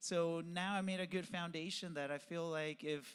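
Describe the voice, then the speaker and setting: His voice high in pitch, the man keeps his intonation fairly even. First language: Spanish. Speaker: professional BMX rider and TV host. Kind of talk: podcast interview.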